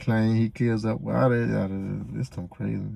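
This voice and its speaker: A man speaks quietly. His pace is fairly slow. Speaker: reaction video creator. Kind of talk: casual reaction commentary. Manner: quiet, low-key; laid back, not loud.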